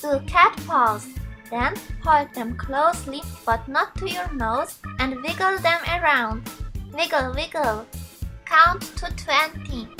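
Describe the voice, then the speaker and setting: A woman with a high pitch uses a raised, projected voice and lively intonation, with music in the background. She speaks at a very slow pace with long, frequent pauses. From Switzerland. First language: Swiss German. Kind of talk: beauty tutorial instructions to camera.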